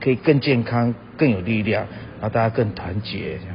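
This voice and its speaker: At a fairly slow pace and a medium pitch, a man speaks with ordinary pitch variation over noticeable background noise. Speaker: singer-songwriter. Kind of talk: recorded comment message.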